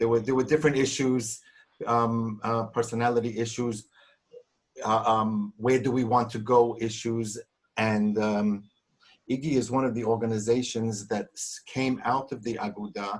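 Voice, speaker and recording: A man talks at a moderate pace in a Brooklyn accent, his medium-pitched voice monotone with flat intonation. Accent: New York (Brooklyn). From US Northeast, Brooklyn. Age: old. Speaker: audience member, immigrant. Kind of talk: casual remarks in an online Q&A. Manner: halting, repeated words.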